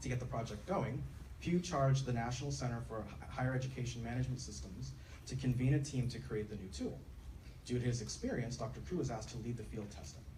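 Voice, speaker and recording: Very fast speech with very wide pitch swings, audible room echo and noticeable background noise. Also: man. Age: young. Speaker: doctoral candidate introducing speaker. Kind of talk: formal introduction.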